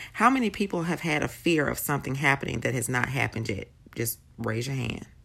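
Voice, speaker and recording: A woman with a very deep, low pitch speaks in a warm, enthusiastic tone with lively intonation and vocal fry. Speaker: faith podcaster. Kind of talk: devotional talk.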